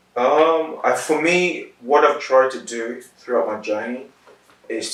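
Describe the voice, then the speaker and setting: A man talks with ordinary pitch variation, and audible room echo fills the recording. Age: 30s. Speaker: interviewee, sickle cell patient and accountant. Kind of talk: interview. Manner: measured, articulate with some hesitations.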